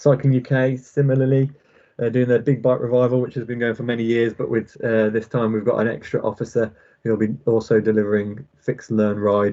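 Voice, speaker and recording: Speaking at a fairly quick pace, a man uses a medium pitch and fairly even intonation. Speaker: local government transport officer. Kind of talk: presentation at public board meeting. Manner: fast.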